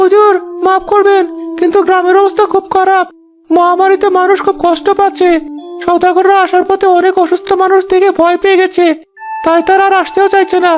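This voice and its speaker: A cartoonish character voice at extremely high pitch, monotone and flat, at a moderate pace with faint music in the background. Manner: deferential.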